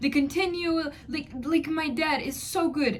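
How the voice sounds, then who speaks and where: A woman with a non-native accent talks at a moderate pace in a high pitch. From third world country. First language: not English. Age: 20s. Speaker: vlogger. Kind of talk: personal advice vlog. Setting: alone at home. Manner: emphatic, repetitive.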